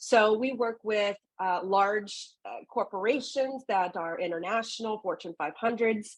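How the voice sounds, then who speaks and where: In a Texan accent, a woman with a fairly high pitch speaks with ordinary pitch variation and big swings in loudness. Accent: Texan American English. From Southeast Texas, Gulf Coast. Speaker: founder of an environmental consulting firm. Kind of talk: podcast interview.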